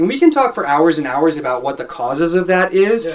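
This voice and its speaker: Speaking in an American accent, the man lets his intonation rise and fall in a lively way. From Los Angeles, US. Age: 20s. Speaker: life coach and motivational speaker. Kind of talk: casual interview chat. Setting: home studio, hot room with a fan. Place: home room. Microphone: studio mic.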